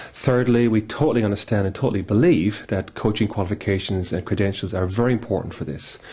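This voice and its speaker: Speaking in an Irish accent at a very fast pace, a man has a fairly low pitch with ordinary variation. His dark, mellow tone is somewhat breathy. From Ireland. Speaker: executive coach. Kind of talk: business self-introduction. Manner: hesitant fillers.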